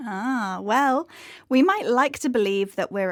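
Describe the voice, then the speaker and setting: A woman talks at a moderate pace with an unremarkable speaking voice and lively intonation. The recording is very clean and dry, close-miked with no echo and a silent background. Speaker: podcast presenter. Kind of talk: educational podcast presentation.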